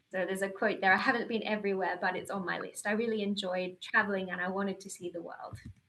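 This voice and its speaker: The voice belongs to a woman, pitched in the medium range. It has a bright, sharp tone. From Australia. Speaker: reserve astronaut and panel moderator. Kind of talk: panel introduction and personal talk. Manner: hesitant, with fillers and restarts.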